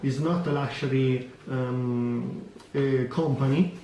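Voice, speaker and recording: There is audible room echo and noticeable background noise as a man with an Italian accent talks at a fairly high pitch with fairly even intonation. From Italy. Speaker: watch vlogger. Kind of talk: product review vlog. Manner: halting, many fillers.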